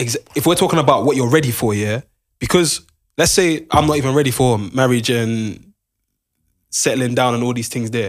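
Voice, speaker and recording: In a very clean recording with a silent background, a man with a London accent talks at a moderate pace, medium in pitch with ordinary pitch variation. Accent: London, multicultural London English. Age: 20s. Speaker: podcast co-host. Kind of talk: casual chat. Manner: animated.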